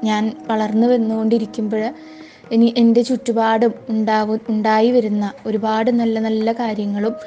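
Music plays in the background. A woman talks at a fairly high pitch in a monotone, flat intonation. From Kerala, Thrissur district. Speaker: student and dancer. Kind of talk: interview. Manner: halting.

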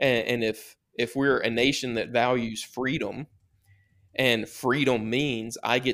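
A man with a Southern US accent speaks at a medium pitch with fairly even intonation. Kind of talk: podcast interview. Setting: remote call.

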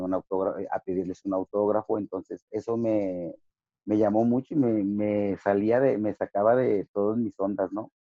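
Fairly low in pitch, a man with an ordinary speaking voice talks at a moderate pace with fairly even intonation. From Ciudad Juárez / El Paso border, Chicano. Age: 50. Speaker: professional wrestler. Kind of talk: interview.

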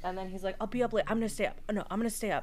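Fairly even intonation from a female speaker. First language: Spanish. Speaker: podcast co-host. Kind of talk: casual chat.

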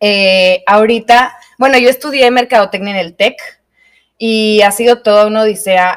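This woman speaks with a Mexican accent. Her pace is moderate and her pitch variation ordinary. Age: 20s. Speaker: podcast co-host, yoga teacher. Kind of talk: casual chat. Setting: studio.

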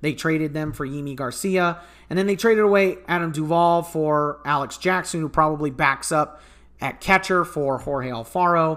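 In a very clean recording with a silent background, a man with a fairly high pitch and a bright, sharp tone talks at a moderate pace with ordinary pitch variation. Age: 20s. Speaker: sports podcast host. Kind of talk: solo sports analysis podcast. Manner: halting, frequent self-corrections.

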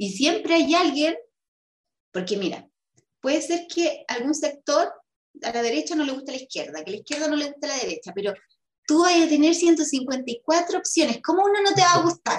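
Lively intonation marks a woman with a Chilean accent who speaks at a high pitch and a moderate pace. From Chile, O'Higgins region (Rengo). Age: 30s. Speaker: constitutional convention delegate and chess player. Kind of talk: interview.

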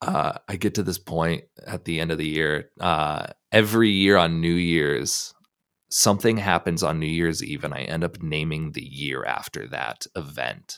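On a very clean recording with a silent background, a man with an American accent speaks at a fairly slow pace in a very deep, low pitch, with vocal fry. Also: ordinary pitch variation. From Columbus, Ohio. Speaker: musician and producer. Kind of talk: casual interview chat.

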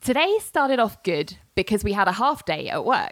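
Very wide pitch swings in a London accent at a moderate pace, with a dry, close sound and no echo. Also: woman. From London, UK. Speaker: podcast host. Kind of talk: storytelling, reading out old emails.

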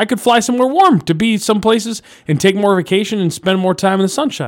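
Speaking at a fairly quick pace, a man has an animated tone on a very clean recording with a silent background. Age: 30s. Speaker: radio show host. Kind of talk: casual chat.

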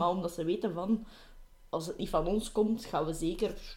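A woman speaks with a Flemish accent at a moderate pace, her pitch varying in an ordinary way. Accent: Flemish Dutch. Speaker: podcast co-host. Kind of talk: casual chat.

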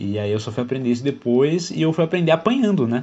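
Speaking in a somewhat breathy voice, a man lets his pitch swing very widely. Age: 20s. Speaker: solo podcaster. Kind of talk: casual monologue. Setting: at home. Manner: halting.

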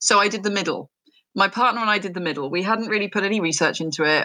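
A woman's bright, sharp tone with an English accent and ordinary pitch variation. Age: 40s. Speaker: neurodiversity entrepreneur. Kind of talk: interview.

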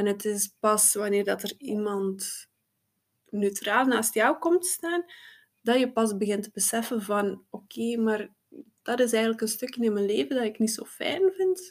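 In an unremarkable speaking voice, a woman talks at a fairly slow pace with a fairly high pitch and lively intonation. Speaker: psychosomatic therapist. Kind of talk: interview.

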